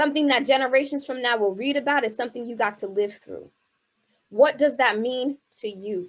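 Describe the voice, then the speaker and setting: Speaking in a Haitian accent, a woman sounds animated, her voice high-pitched with ordinary pitch variation. She keeps a moderate pace against a quiet background. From US Northeast, Boston, Haitian American family. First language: Haitian Creole. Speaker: keynote speaker and spoken word artist. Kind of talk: motivational keynote speech. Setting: virtual event, video call. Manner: animated, rhetorical.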